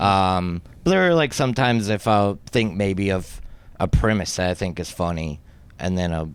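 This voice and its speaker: Speaking with an American accent at a moderate pace, a man has a fairly low pitch with ordinary variation, on a very clean recording with a silent background. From US South, Mississippi. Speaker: stand-up comedian. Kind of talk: casual chat. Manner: halting.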